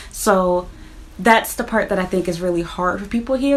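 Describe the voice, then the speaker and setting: Over noticeable background noise, a woman with an American accent talks at a fairly quick pace. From United States. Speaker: YouTuber, vlogger. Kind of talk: casual vlog monologue. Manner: conversational.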